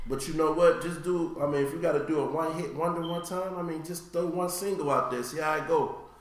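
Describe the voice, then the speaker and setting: Over noticeable background noise, a man talks at a fairly quick pace with hardly any pauses, a high pitch and fairly even intonation. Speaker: podcast host. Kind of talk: casual chat.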